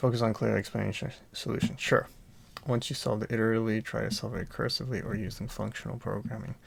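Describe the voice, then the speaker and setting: Soft-spoken, a man talks at a very fast pace. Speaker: coding student. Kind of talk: tutorial. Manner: quiet, soft-spoken; halting with fillers.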